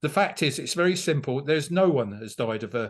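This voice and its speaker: A man speaks with a London accent. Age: 60s. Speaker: political candidate. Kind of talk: interview. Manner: halting, many fillers and repeats.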